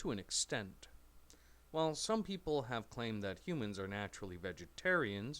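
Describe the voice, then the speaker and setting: A man's medium-pitched voice, bright and sharp in tone, with very wide pitch swings, on a very clean recording with a silent background. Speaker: English teacher. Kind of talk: educational reading of a scripted text for language learners. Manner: slow.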